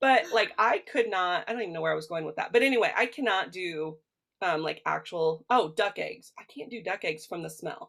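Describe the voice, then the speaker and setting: Her voice animated and touched with vocal fry, a woman speaks fairly quickly at a medium pitch with lively intonation. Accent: Midwestern. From US Midwest. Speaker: nutritional therapy practitioner, podcast co-host. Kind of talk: casual chat.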